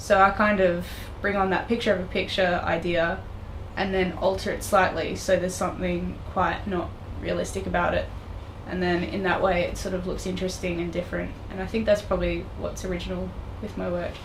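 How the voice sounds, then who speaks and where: A woman with an Australian accent at a fairly quick pace, amid noticeable background noise and audible room echo. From Australia, Tasmania. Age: 20s. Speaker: digital artist. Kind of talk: interview. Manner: hesitant, many fillers.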